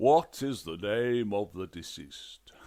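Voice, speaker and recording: Booming at a fairly low pitch, a man does a put-on character voice at a fairly slow pace. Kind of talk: comic fantasy narration. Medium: read story. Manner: formal, bureaucratic, dry.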